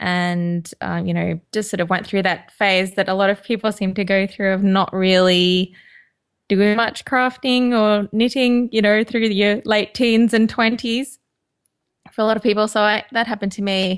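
A woman speaks with an Australian accent at a moderate pace, her intonation fairly even against a quiet background. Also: medium pitch for a woman. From Queensland, Australia. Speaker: knitwear designer and podcaster. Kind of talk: casual interview chat.

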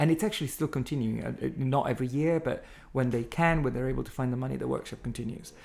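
A man with an Italian accent talks at a very fast pace, at a medium pitch with ordinary pitch variation. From Italy. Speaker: art centre director. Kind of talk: interview. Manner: halting.

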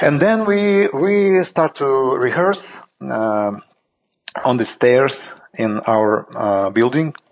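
This man speaks very slowly with a Russian accent at a medium pitch. His pitch swings very widely. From Saint Petersburg, Russia. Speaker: jazz drummer. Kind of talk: interview conversation. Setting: video call from Greece. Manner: halting, non-native English.

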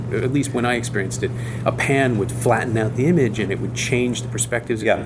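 A man at medium pitch talks at a very fast pace with fairly even intonation. The recording has audible room echo and noticeable background noise. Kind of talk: casual interview.

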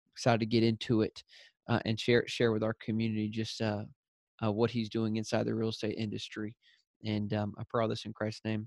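Dry and close with no echo, a man with a Southern US accent talks fairly quickly at a medium pitch in a monotone, flat intonation. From US South. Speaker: podcast host. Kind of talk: casual interview; prayer. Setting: call.

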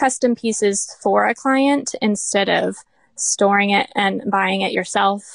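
A woman with an American accent and a normal speaking voice talks at a moderate pace and medium pitch. The sound is dry and close with no echo, over a quiet background. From Florida. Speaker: furniture refinisher. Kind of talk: casual interview.

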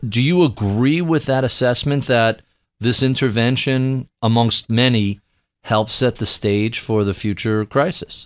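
In a very clean recording with a silent background, a man with an American accent speaks at a medium pitch with ordinary variation. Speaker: radio and podcast host. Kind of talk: interview.

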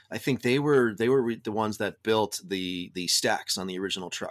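A man talks at a fairly quick pace in a normal speaking voice, pitched fairly low with ordinary variation. The recording is very clean, with a silent background. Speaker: truck owner and anti-bullying advocate. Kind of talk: casual interview.

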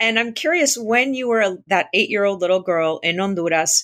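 A woman has an ordinary speaking voice at a medium pitch. Her intonation is lively. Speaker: podcast host. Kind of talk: interview.

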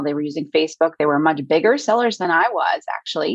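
A woman with an American accent talks at a very fast pace, her pitch fairly low and its variation ordinary. Music plays in the background. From Hudson Valley, New York. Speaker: high school teacher and email marketer. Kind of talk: casual interview. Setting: indoors on a rainy day.

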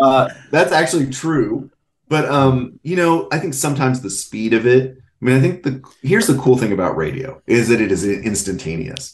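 Lively in intonation and somewhat breathy, a man talks with an American accent. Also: medium pitch for a man, moderate pace. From North Texas. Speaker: sports media writer. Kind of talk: casual chat. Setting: podcast.

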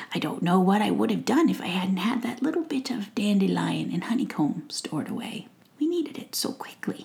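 The voice is a put-on character voice, squeaky in sound. It moves along at a fairly quick pace. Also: woman, fairly high pitch for a woman. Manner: tender, motherly.

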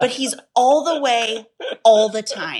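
A woman speaks with a high pitch. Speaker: author. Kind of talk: casual interview chat. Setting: video call.

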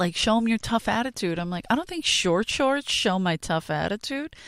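Recorded dry and close with no echo, the Philadelphia accent comes through on a very clean recording with a silent background. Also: woman. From South Philadelphia, US. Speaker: stand-up comedian. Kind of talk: casual chat. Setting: studio. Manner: animated.

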